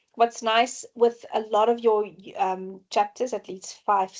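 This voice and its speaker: A woman speaks at a moderate pace. Her intonation is monotone and flat. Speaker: lecturer. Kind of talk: online lecture. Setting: online session. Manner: frequent throat clearing.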